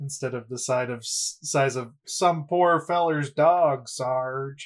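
The speaker puts on a character voice and talks at a very slow pace. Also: man, fairly high pitch for a man. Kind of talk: comic character voice at the table. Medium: actual play.

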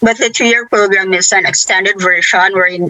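A woman speaks with a Philippine accent at a medium pitch. Noticeable background noise is present. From Philippines. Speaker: lawyer.

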